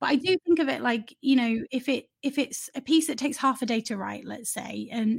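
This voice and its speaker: Here a woman speaks with a Yorkshire accent and vocal fry. Her pitch varies in an ordinary way, and the sound is dry and close with no echo. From northern England, Leeds. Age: 30s. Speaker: journalist and news website founder. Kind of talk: interview. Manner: hesitant, many fillers and repetitions.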